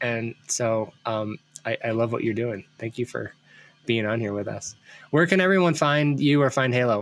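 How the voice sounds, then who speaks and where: Music plays in the background. The voice moves at a moderate pace with ordinary pitch variation. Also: man, medium pitch for a man. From US Midwest, Ohio. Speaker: podcast host, brand consultant. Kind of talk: casual interview chat.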